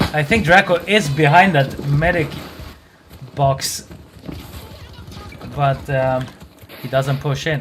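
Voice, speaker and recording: Long, frequent pauses break up very slow speech over noticeable background noise. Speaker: esports caster. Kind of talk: live commentary.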